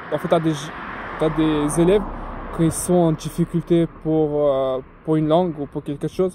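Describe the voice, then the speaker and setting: A man speaks at a fairly high pitch with monotone, flat intonation. He leaves long, frequent pauses over noticeable background noise. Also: moderate pace. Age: young. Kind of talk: casual talk to camera. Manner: hesitant, informal.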